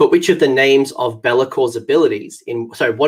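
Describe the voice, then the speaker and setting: A man speaks with an Australian accent and fairly even intonation. His voice is somewhat breathy. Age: 30s. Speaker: gaming channel host. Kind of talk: live stream trivia game hosting. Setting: live stream. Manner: halting, many fillers.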